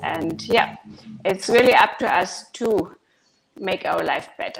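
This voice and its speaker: A woman speaks with a German accent. Her pace is fairly slow. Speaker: guest from an online audio chat room. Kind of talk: casual chat.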